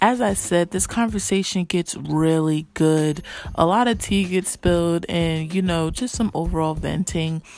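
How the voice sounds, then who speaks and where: In a normal speaking voice with an American accent, the speaker goes at a fairly slow pace with ordinary pitch variation. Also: woman, fairly low pitch for a woman. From New Jersey. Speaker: podcast host and moderator. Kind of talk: casual chat.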